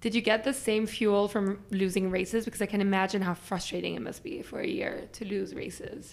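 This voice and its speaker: At a fairly quick pace, a woman talks with vocal fry and ordinary pitch variation. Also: medium pitch for a woman. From Belgium and Germany. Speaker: podcast host, business school student. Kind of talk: interview. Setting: recording room at school.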